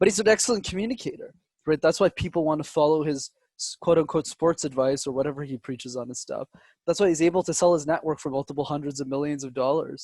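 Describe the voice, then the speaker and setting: A man talks at a very fast pace in a fairly high pitch with ordinary pitch variation. The sound is dry and close, with no echo. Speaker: public speaking coach. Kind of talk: interview. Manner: dramatic pauses.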